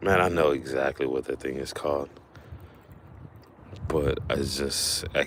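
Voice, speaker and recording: A man with a very deep, low pitch speaks at a moderate pace with fairly even intonation. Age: 40s. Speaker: fishing streamer. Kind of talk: casual live stream chat. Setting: outdoors fishing. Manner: casual, halting with fillers.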